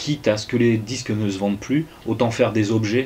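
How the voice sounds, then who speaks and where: A man speaks at a fairly low pitch. His intonation shows ordinary pitch variation. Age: 30s. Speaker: musician and comic artist. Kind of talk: interview. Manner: halting, many hesitations.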